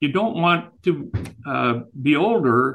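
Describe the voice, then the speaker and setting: This is a man talking. His voice has vocal fry. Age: 70s. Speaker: author and real estate broker. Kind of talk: interview, personal storytelling. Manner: conversational, hesitant with fillers.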